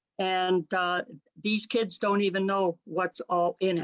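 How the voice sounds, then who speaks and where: With a Canadian accent, a woman uses an ordinary speaking voice at medium pitch and a moderate pace, in a dry, close sound with no echo. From Ontario, Canada. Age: 60s. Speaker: political candidate. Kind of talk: casual interview.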